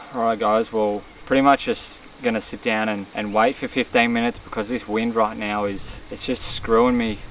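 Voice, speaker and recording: With an Australian accent, a man at medium pitch speaks at a moderate pace with hardly any pauses and monotone, flat intonation over noticeable background noise. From Australia, Victoria. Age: 20s. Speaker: bowhunting vlogger. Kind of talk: casual vlog talk to camera. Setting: outdoors in the bush. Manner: hesitant, with restarts.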